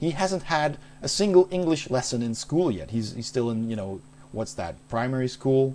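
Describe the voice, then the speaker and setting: The voice belongs to a man with a dark, mellow tone. He speaks at a moderate pace with lively intonation. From Netherlands, Maastricht. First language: Dutch. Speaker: game streamer. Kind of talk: casual chat. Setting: live stream.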